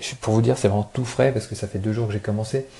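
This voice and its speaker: His voice has a dark, mellow tone, fairly low pitch and a somewhat breathy quality. The man speaks with monotone, flat intonation. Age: 20s. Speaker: podcaster. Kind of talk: casual solo talk. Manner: hesitant, many fillers.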